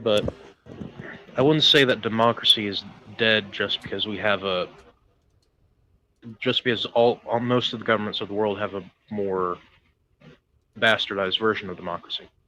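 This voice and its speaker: Long, frequent pauses break up speech at a moderate pace with fairly even intonation. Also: man, fairly low pitch for a man. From US South. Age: 20s. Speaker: caller. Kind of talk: casual debate.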